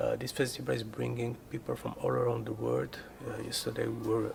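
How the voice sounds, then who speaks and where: A man with a Moroccan accent at a moderate pace, over noticeable background noise. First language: Moroccan Arabic. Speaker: rock guitarist. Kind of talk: documentary interview.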